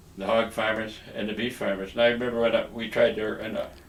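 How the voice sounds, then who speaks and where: A man speaks at a fairly quick pace, with noticeable background noise behind him. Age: 80s+. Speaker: retired politician, former agriculture minister. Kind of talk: speech to a dinner gala, by video. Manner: frank, opinionated.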